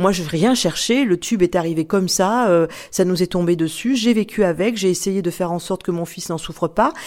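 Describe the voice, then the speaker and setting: Speaking at a fairly quick pace, this is a plain, everyday voice with ordinary pitch variation. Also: woman, medium pitch for a woman. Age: 60s. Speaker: author, former radio host. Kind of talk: testimony.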